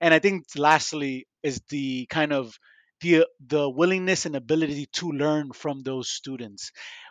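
At a fairly slow pace, a man with an American accent talks in an unremarkable speaking voice at a fairly high pitch, with a quiet background and a dry, close sound with no echo. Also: fairly even intonation. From Miami, Florida. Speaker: podcast host, pharmaceutical industry fellow. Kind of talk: casual interview.

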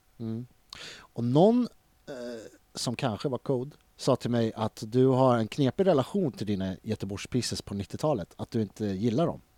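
A man's medium-pitched voice with a dark, mellow tone and a Stockholm accent, lively intonation at a moderate pace, in a very clean recording with a silent background and a dry, close sound with no echo. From Stockholm (Tensta/Hjulsta). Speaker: podcast host. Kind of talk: casual interview.

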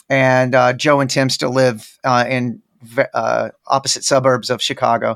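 A man with a Texan accent speaks at a fairly slow pace and medium pitch. His intonation is monotone and flat on a very clean recording with a silent background. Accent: Texan American. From Texas, Dallas. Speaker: rock guitarist. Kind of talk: casual interview chat.

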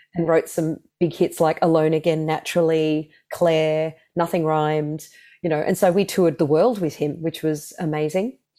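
Speaking with an Australian accent, the voice has a dark, mellow tone and fairly even intonation at a moderate pace. The recording is very clean, with a silent background. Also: woman, very deep, low pitch for a woman. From Australia, Melbourne. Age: 40s. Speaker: singer. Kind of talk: casual chat.

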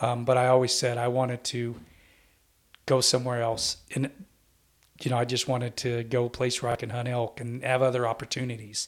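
Using an American accent, a man speaks at a fairly quick pace and a medium pitch with monotone, flat intonation and long, frequent pauses. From central California. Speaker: hunting podcast host. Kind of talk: casual chat.

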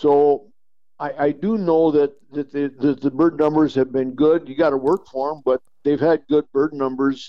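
Fairly even in intonation, a man with a fairly high pitch speaks at a moderate pace. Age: 60s. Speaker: hunting outfitter and guide. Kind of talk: casual chat. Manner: halting.

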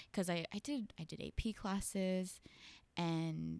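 An American accent comes through in a normal speaking voice with ordinary pitch variation. The sound is dry and close, with no echo. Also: woman. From Los Angeles San Fernando Valley. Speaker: animatic assistant editor. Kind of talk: casual interview.

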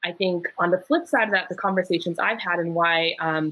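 A woman speaks at a fairly quick pace in an ordinary speaking voice, her pitch fairly low with ordinary variation. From US Midwest, Wisconsin. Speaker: sociologist and community organizer. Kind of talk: panel discussion.

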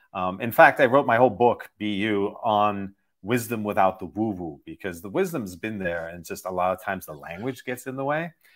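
In a very clean recording with a silent background, a man with a normal speaking voice talks at a moderate pace and fairly low pitch, with lively intonation and big swings in loudness. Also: hardly any pauses. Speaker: meditation teacher and author. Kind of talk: interview.

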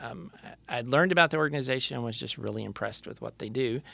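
This is a man speaking. He has an American accent. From Texas, Lubbock. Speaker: association executive director and parent. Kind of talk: interview.

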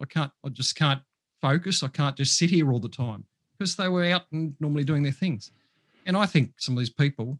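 Somewhat breathy and fairly high-pitched, a man with an Australian accent speaks with ordinary pitch variation against a quiet background, the sound dry and close with no echo. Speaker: mental health professional. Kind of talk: casual interview.

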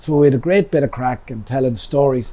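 A man speaks with an Irish accent at a fairly quick pace. His pitch is medium and varies in an ordinary way. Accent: Cavan Irish. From Ireland, County Cavan. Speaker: pub owner. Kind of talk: casual storytelling interview.

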